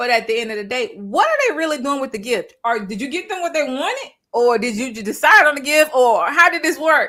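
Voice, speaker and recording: Raising and projecting her high-pitched voice, a woman talks at a fairly quick pace in an animated tone, with very wide pitch swings and hardly any pauses. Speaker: online show host. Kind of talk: casual chat. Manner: fast.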